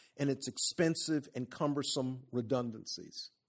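A man with an unremarkable speaking voice, fairly high in pitch, at a moderate pace, on a very clean recording with a silent background. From US South, South Carolina. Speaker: law professor. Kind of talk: lecture. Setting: auditorium with live audience.

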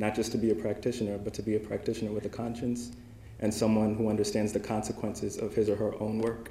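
Very fast and monotone with flat intonation, a man talks at a fairly low pitch in a dark, mellow tone marked by vocal fry. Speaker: young alumni award recipient, humanitarian aid worker. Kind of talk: acceptance speech. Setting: dinner event with audience.

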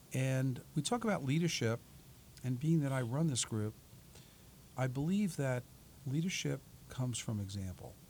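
Somewhat breathy and at a medium pitch, a man with an American accent talks with long, frequent pauses. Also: moderate pace. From New York City, Staten Island. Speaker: portfolio manager and author. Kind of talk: radio interview. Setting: radio studio.

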